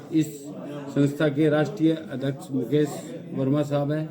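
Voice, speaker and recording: This man's voice sits at a fairly high pitch. Noticeable noise runs in the background. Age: 50s. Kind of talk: testimonial speech.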